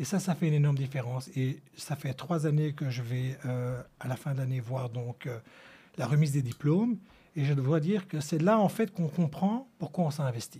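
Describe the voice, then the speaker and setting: A man with a fairly high, somewhat breathy voice and a dark, mellow tone speaks at a moderate pace with ordinary pitch variation. The recording is very clean, with a silent background. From Antwerp, Belgium. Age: 50s. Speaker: school board member. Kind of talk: radio interview. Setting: radio studio.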